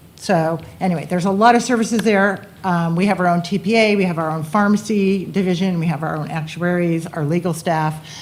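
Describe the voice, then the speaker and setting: A woman with a normal speaking voice talks at a fairly quick pace with hardly any pauses. Her pitch is fairly low and her intonation fairly even. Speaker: benefits consultant. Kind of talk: sales pitch.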